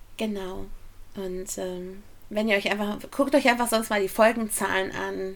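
An ordinary speaking voice from a woman at medium pitch, with fairly even intonation, big swings in loudness and a fairly slow pace. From Ruhr area, Germany. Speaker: podcast co-host, musical fan. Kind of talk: casual chat.

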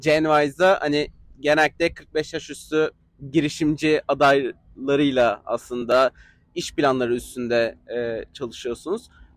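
A man has a fairly high pitch and an unremarkable speaking voice. He talks at a fairly slow pace. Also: ordinary pitch variation. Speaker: audience member asking questions. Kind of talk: audience question. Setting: outdoor terrace with audience.

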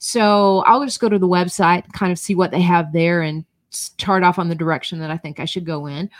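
A normal speaking voice moves at a fairly quick pace with ordinary pitch variation. Its loudness swings widely. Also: woman, fairly low pitch for a woman. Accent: American. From North Georgia, US South. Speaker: personal branding consultant and author. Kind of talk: interview conversation.

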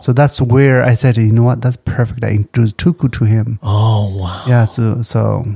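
A man's somewhat breathy voice has a dark, mellow tone and fairly even intonation. The sound is dry and close, with no echo. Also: medium pitch for a man, moderate pace. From Tibet. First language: Tibetan. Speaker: restaurant owner. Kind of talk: casual chat.

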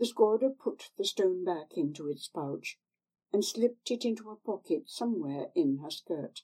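Someone is reading aloud in a natural voice. The background is quiet.

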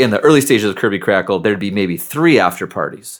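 A man with an American accent and an unremarkable speaking voice talks at a fairly quick pace with a fairly low pitch and ordinary pitch variation, on a very clean recording with a silent background. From Seattle, US Pacific Northwest. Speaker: nerd rock musician. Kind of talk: casual interview chat.

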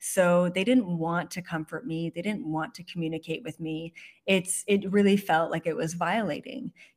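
A woman with a normal speaking voice talks at a moderate pace and a fairly low pitch. Her pitch varies in an ordinary way, while her loudness swings widely. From Canada. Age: 20s. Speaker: psychic. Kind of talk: interview.

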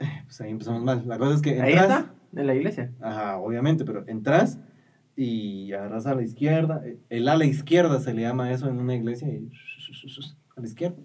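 Medium-pitched male voice with audible room echo. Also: ordinary pitch variation, fairly quick pace. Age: 20s. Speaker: podcast co-host. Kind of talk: casual chat.

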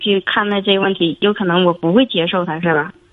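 A woman talks fairly quickly, and noticeable background noise is present. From Jilin, northeast China. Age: 30s. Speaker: caller. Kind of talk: phone call-in. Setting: phone call. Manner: halting.

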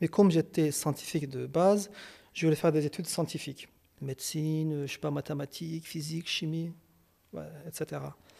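This man talks at a moderate pace. His pitch is fairly high. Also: long, frequent pauses, big swings in loudness. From Kurdistan. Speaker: psychologist and psychoanalyst. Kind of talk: interview. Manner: hesitant, with fillers and repetitions.

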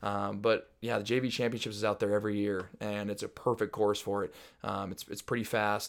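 On a very clean recording with a silent background, a man with an American accent speaks in a fairly low pitch and a monotone, flat intonation. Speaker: former high school and college runner. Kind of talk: casual interview. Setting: host's home. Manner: loud.

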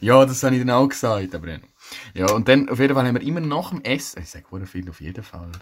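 Very fast male speech at medium pitch, with vocal fry, lively intonation and big swings in loudness. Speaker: podcast co-host. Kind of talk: casual chat.

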